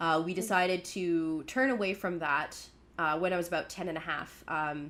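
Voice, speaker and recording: The pace is moderate and the pitch variation ordinary. The speaker is a woman. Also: fairly low pitch for a woman. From Canada, Newfoundland and Prairies. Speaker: podcast co-host, practicing witch. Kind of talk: casual chat.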